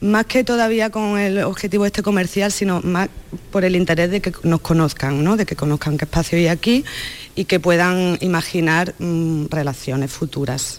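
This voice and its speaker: With a normal speaking voice, a woman talks at a moderate pace and a fairly low pitch. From Córdoba, Andalusia. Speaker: dancer. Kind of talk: interview.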